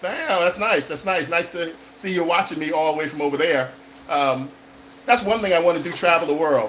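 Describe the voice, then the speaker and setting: Over noticeable background noise, a man with an American accent talks at a fairly quick pace in a high pitch. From California. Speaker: actor and acting coach. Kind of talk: live stream chat. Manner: fast-talking; hesitant, many fillers.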